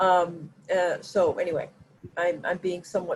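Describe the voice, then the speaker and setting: The woman speaks at a fairly low pitch. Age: 60s. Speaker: workshop participant. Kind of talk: group video call conversation. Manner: halting, many fillers.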